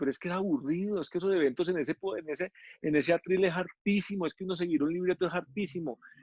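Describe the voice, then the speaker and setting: The man's pitch is high. His pitch variation is ordinary. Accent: Paisa. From Antioquia, Colombia. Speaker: TV presenter. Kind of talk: interview answer. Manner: casual, candid.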